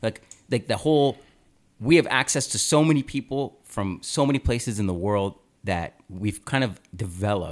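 At a moderate pace, a man speaks with lively intonation at a medium pitch in an unremarkable speaking voice. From Canada (Aurora, Ontario). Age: 20s. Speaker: podcast host. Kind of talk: casual chat.

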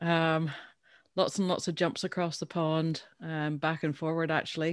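A woman with a Northern Irish accent speaks fairly slowly at a fairly low pitch on a very clean recording with a silent background. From Northern Ireland. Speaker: business owner and founder. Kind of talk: casual interview.

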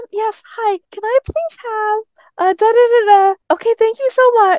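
A woman's put-on character voice, squeaky and extremely high, at a fairly slow pace with ordinary pitch variation and a dry, close sound with no echo. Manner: sweet, polite, cheerful.

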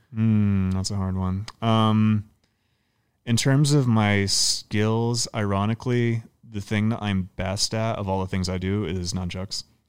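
An unremarkable speaking voice from a man, fairly low and fairly slow, with fairly even intonation on a very clean recording with a silent background. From Canada. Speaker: professional movement artist and circus performer. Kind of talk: casual chat. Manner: casual, laughing.

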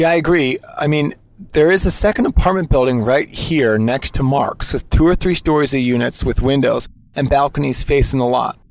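This man has an ordinary speaking voice. His pitch is fairly high and varies in an ordinary way. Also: moderate pace. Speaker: podcast host on-site. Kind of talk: on-location narration and discussion. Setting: outdoors at the scene.

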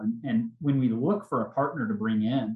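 A somewhat breathy male voice with an American accent, medium pitch, ordinary pitch variation and a moderate pace. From Oklahoma. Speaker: restaurant chain CEO. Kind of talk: casual interview.

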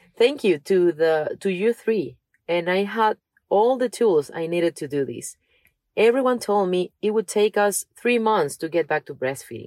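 With a Spanish accent, a woman speaks at a moderate pace with lively intonation in a dry, close recording with no echo. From Venezuela. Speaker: podcast co-host. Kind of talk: reading aloud.

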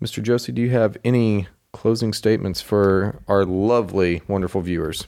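Speaking at a moderate pace, a man with an American accent uses lively intonation. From Oklahoma. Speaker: sports podcast co-host. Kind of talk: casual chat.

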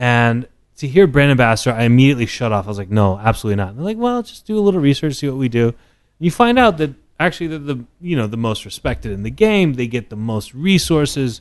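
Against a quiet background, a man with an American accent talks at a very fast pace, his medium-pitched voice carrying lively intonation. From Texas, Dallas area. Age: 30s. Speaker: whisky brand ambassador. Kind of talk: casual chat. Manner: animated.

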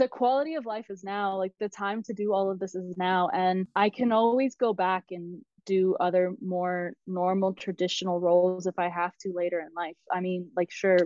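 In a normal speaking voice, a woman with an American accent keeps her intonation fairly even. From US South, South Carolina. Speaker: travel blogger and digital nomad coach. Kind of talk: interview conversation. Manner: fast.

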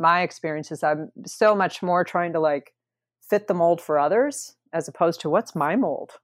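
A woman with an American accent talks at a moderate pace. She has a plain, everyday voice, pitched fairly low. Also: dry, close sound with no echo. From US Midwest (rural Wisconsin). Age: 50s. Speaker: talent acquisition manager, former art director. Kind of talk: interview conversation. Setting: remote call.

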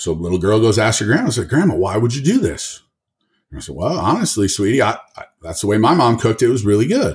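On a very clean recording with a silent background, a man with an American accent talks very fast at a medium pitch, somewhat breathy, with very wide pitch swings and big swings in loudness. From northern Michigan, US. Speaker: powerlifter and gym owner. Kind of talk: casual interview. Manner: articulate.

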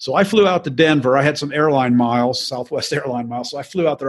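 A man speaks with fairly high pitch and ordinary pitch variation. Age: 60s. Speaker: mortgage note investor. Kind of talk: interview. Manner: repetitive, halting starts.

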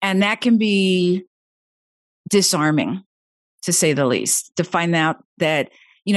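A woman speaks with lively intonation. Her pitch sits in the medium range. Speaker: veteran and podcast host. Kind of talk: casual interview chat. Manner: calm, meditative.

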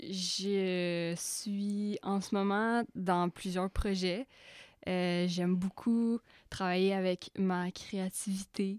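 A woman speaks very slowly at a medium pitch, her loudness very even and her intonation fairly even, in a dry, close sound with no echo on a very clean recording with a silent background. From Quebec (Outaouais). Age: young. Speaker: filmmaker. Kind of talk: casual chat. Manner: code-switching French-English.

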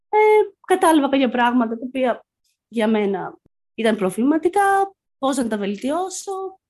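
Speaking at a fairly slow pace with long, frequent pauses, a woman uses a high pitch and very wide pitch swings. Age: 20s. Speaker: graduate student, therapy client. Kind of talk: personal testimony in interview.

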